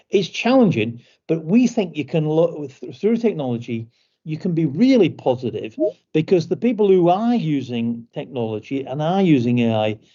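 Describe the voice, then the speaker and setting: At a moderate pace, a man with a British accent speaks with a fairly high pitch and very wide pitch swings. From Britain. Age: 60s. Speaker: company executive. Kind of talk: online information session talk. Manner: halting, many repetitions and fillers.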